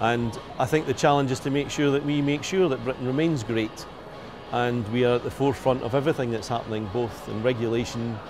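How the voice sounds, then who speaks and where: Music plays behind a man speaking at a medium pitch. He moves at a fairly quick pace with fairly even intonation. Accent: Scottish. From Scotland. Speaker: business executive. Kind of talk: business interview.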